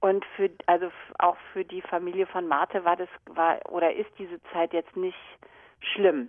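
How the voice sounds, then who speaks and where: Speaking at a fairly slow pace, a woman has a fairly low pitch and a monotone, flat intonation. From Germany. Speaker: viola da gamba player and teacher. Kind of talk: interview. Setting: phone call.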